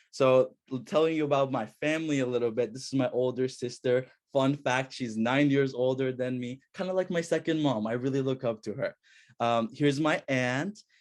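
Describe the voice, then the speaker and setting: In an Iranian accent, a man speaks at a medium pitch with ordinary pitch variation against a quiet background. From Iran, moved to US at 9. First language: Farsi. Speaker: student researcher. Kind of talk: academic presentation.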